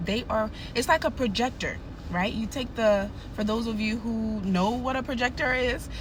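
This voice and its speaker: With audible room echo, a woman speaks in a fairly high voice, her tone animated and her pitch variation ordinary. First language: not English. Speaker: nurse and narcissism educator. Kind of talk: advice monologue to camera.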